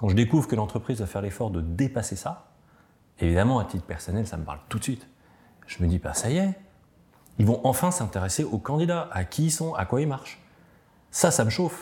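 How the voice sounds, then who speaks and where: This man's medium-pitched voice has a dark, mellow tone and is somewhat breathy, swinging very widely in pitch at a fairly quick pace with long, frequent pauses. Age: 40s. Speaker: tech company founder. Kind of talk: interview storytelling. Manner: hesitant, many fillers.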